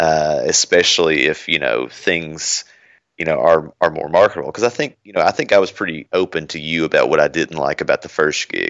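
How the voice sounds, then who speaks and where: Speaking with a Kentucky accent, a man keeps a fairly quick pace. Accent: Southern US (Kentucky). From Kentucky (Bowling Green). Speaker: senior security architect. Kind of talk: casual interview chat.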